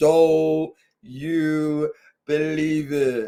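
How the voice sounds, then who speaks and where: A woman puts on a character voice. It is pitched very deep and low. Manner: exaggerated cartoonish.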